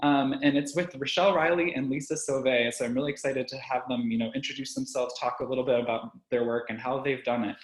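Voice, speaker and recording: Over noticeable background noise, a man talks at a very fast pace with hardly any pauses. His pitch is medium and his intonation fairly even. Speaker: arts organization programs manager. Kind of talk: webinar introduction. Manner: frequent filler words.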